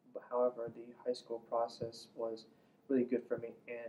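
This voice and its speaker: With an Iranian accent, a man speaks at a fairly quick pace in a medium pitch with a dark, mellow tone. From Iran, Isfahan. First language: Farsi. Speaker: immigrant interviewee. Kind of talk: interview.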